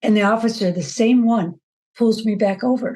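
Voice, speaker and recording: Somewhat breathy female speech, dark and mellow in tone. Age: 70s. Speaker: former rally participant. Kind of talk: interview testimony. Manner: animated storytelling.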